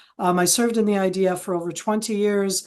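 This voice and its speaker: With an American accent, a woman speaks in an ordinary speaking voice at a medium pitch, fairly quick pace and fairly even intonation against a quiet background. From Israel, American parents from San Francisco Bay Area. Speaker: retired military intelligence officer and analyst. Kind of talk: webinar interview.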